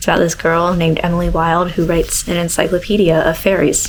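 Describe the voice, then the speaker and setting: Through noticeable background noise, a soft-spoken woman talks at a medium pitch. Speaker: vlogger. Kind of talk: casual vlog chat. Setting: at home.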